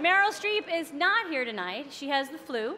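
There is noticeable background noise. A woman talks at a moderate pace. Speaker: comedian, awards show host. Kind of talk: awards show opening monologue, scripted comedy banter. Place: stage. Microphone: podium.

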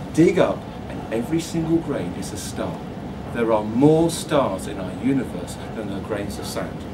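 The speaker goes at a moderate pace. Noticeable background noise runs underneath. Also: man. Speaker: astronomy author. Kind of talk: public talk. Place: shop. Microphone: camera far.

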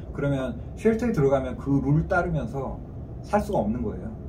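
A man talks over noticeable background noise. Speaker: analyst at a regional planning agency. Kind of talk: interview answer. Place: meeting room. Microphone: camera far.

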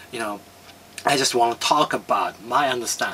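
A man talks at a moderate pace with a Japanese accent. Light background noise can be heard. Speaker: filmmaker and martial artist. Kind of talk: talk to camera. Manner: halting. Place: home room.

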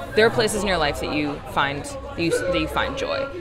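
Crowd noise fills the background. A woman speaks at a fairly quick pace. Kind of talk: interview answer. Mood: reflective, earnest. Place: cafe. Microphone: phone near.

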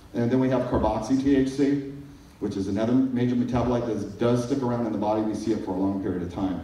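A man keeps his intonation fairly even while audible room echo hangs around his voice. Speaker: pharmacist giving a conference talk. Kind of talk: technical lecture on pharmacology. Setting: stage. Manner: fast talker. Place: hall. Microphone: pa.

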